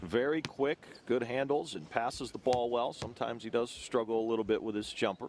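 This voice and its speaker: A man's medium-pitched, an unremarkable speaking voice with ordinary pitch variation. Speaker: basketball play-by-play announcer. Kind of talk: sports play-by-play broadcast.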